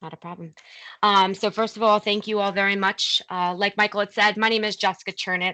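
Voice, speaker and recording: In a New Jersey accent, the speech moves at a fairly quick pace with flat, monotone intonation. The tone is bright and sharp, the sound dry and close with no echo. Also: woman, quiet background. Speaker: corporate training program lead. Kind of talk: virtual meeting presentation.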